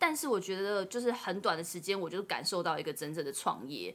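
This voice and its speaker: Lively intonation marks a woman's very fast delivery. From Taiwan. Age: late 20s. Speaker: author and overseas job consultant. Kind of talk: interview.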